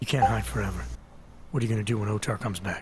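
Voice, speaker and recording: A man's raspy put-on character voice, fairly low in pitch, serious in tone, with lively intonation and a very fast pace over loud background noise. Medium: video game. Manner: terse, controlled, serious.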